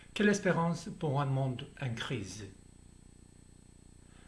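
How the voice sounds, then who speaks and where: Somewhat breathy delivery with a non-native accent, lively intonation and audible room echo. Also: man. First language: Spanish or Basque (speaking French). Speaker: theologian. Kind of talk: lecture. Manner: formal; slightly halting.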